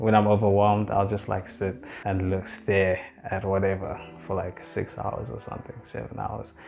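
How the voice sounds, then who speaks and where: Over music in the background, a man speaks in a relaxed, calm tone at a moderate pace. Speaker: vlogger. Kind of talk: personal vlog talk.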